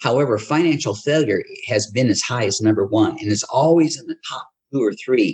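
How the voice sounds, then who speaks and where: A man's medium-pitched, somewhat breathy voice with an American accent, fairly quick, with lively intonation and big swings in loudness. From Akron, Ohio. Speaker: retired pastor, author, veteran. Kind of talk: interview, storytelling.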